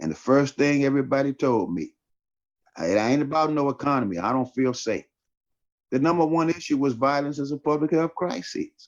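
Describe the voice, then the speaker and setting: A man at a fairly high pitch, moderate pace and ordinary pitch variation. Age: 60s. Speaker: pastor and Senate candidate. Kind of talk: political interview. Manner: animated.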